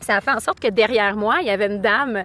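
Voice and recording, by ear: A woman speaks fairly quickly in a Quebec accent. Her medium-pitched voice has a fairly bright tone and lively intonation. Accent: Québécois.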